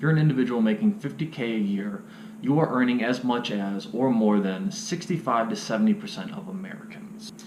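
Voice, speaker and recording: With a Midwestern accent, a man talks at a fairly quick pace in very wide pitch swings, with audible room echo and noticeable background noise. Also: fairly high pitch for a man. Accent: US Midwest (Ohio). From Cleveland, Ohio. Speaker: vlogger. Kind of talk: casual vlog monologue. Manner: fast.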